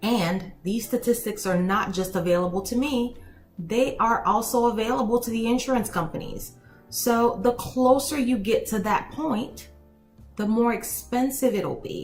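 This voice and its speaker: With music in the background, a woman speaks at a fairly slow pace in a fairly high pitch with ordinary pitch variation. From Haiti. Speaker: elder law attorney. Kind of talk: casual talk to camera.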